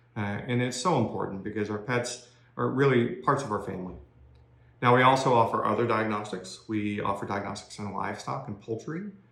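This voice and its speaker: A Southern US accent with ordinary pitch variation and audible room echo. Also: man, medium pitch for a man, fairly quick pace. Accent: non-Maine accent, Southern. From US South, Georgia (outside Atlanta). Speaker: corporate technology executive, career speaker. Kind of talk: career talk to young people (recorded video). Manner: conversational with many fillers (uh, um).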